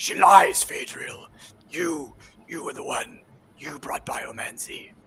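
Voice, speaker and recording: Put-on character voice, raspy and at a fairly slow pace. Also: man. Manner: angry, menacing.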